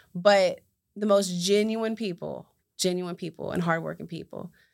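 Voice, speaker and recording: A woman with an American accent talks at a moderate pace at a medium pitch, her intonation monotone and flat. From West Virginia, US. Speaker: entrepreneur and community advocate. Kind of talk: interview, personal testimony.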